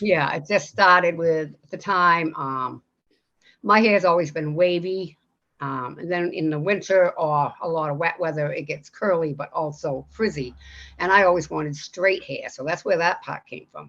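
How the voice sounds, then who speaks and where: Against a quiet background, a woman with a fairly low pitch talks at a moderate pace in an ordinary speaking voice, with ordinary pitch variation and big swings in loudness. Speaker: musician. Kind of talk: interview answer.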